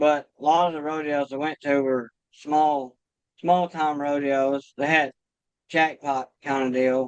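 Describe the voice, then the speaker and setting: A Kentucky accent with monotone, flat intonation at a fairly slow pace, in a dry, close sound with no echo. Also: man, fairly high pitch for a man. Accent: rural Kentucky, US South. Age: 40s. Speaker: trapper. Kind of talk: podcast interview. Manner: casual, conversational.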